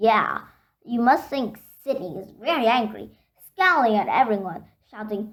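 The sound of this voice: The pitch varies an ordinary amount in an unforced reading voice. Nothing intrudes from the quiet background.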